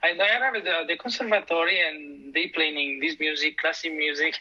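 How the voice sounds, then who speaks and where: Moderate pace and ordinary pitch variation from a man speaking high, over noticeable background noise. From Italy, near Milan. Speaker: conductor and double bass player. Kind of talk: interview.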